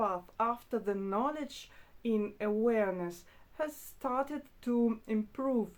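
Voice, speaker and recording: Speaking very slowly, a woman has a high pitch. She talks with a non-native accent. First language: not English. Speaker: spiritual teacher. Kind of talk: spontaneous talk to camera. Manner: hesitant, with fillers.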